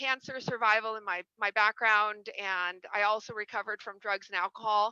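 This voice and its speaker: In an American accent, a woman with a fairly high pitch and a bright, sharp tone talks in a monotone, flat way, with a dry, close sound, no echo and a quiet background. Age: 40s. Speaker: executive recruiter and mindset coach. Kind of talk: interview, life story. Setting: live video stream. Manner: halting, repeats words.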